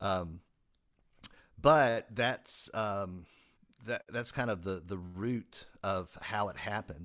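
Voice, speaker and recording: Speaking with a Southern US accent, a man uses a fairly low pitch with ordinary pitch variation, at a very slow pace full of long, frequent pauses. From US South, South Carolina. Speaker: music technology teacher and author. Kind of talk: casual interview chat. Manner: hesitant, many fillers.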